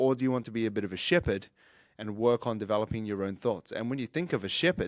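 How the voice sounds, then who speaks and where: A man with a New Zealand accent speaks very fast with ordinary pitch variation in a very clean recording with a silent background. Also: medium pitch for a man. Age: 30s. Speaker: fitness coach and podcaster. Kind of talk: solo podcast monologue.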